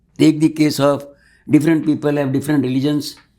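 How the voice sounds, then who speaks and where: A man with an Indian accent speaks in a dark, mellow tone. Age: 80s+. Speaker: mathematics teacher. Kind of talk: interview answer.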